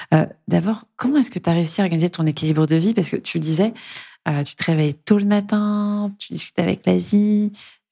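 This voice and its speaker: A woman's somewhat breathy, fairly low voice, dark and mellow in tone, at a fairly quick pace with ordinary pitch variation. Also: very clean recording, silent background. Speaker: podcast host. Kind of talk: interview.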